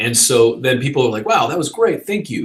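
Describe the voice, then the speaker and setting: The man's voice is fairly high in pitch and somewhat breathy. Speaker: online business coach and filmmaker. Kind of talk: live Q&A answering viewer questions. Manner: casual, conversational with fillers.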